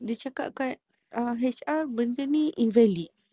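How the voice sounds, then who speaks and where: Over a quiet background, a woman with a fairly high pitch and a dark, mellow tone speaks at a fairly slow pace. The sound is dry and close with no echo, and her pitch varies in an ordinary way. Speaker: podcast participant. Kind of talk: casual chat.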